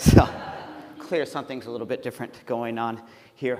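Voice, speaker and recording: There is noticeable background noise. A man talks through it at a fairly quick pace. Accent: American. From United States. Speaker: pastor and theologian. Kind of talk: keynote lecture.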